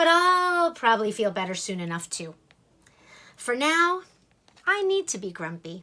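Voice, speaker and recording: Using a put-on character voice, a woman with a high pitch speaks at a moderate pace with very wide pitch swings, big swings in loudness and long, frequent pauses. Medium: read story. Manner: grumpy, defensive.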